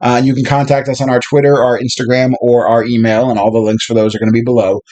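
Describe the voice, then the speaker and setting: A man with an American accent at a very fast pace, medium in pitch with fairly even intonation, over noticeable background noise. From US Northeast (South Jersey). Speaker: video series co-host, tabletop hobbyist. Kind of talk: casual chat.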